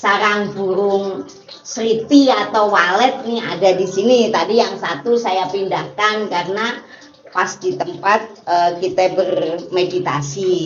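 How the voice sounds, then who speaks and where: Speaking at a very slow pace with ordinary pitch variation, a woman is heard with audible room echo and noticeable background noise. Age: 60s. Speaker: meditation teacher. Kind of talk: casual explanatory talk. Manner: hesitant, many filler sounds.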